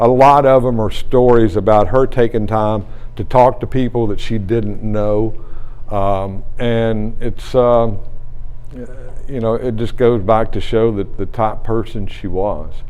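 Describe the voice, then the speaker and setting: In a room with audible echo, a man at medium pitch speaks at a fairly slow pace with fairly even intonation. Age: 60s. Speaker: retiring radio play-by-play broadcaster. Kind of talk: press conference. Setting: press conference with reporters.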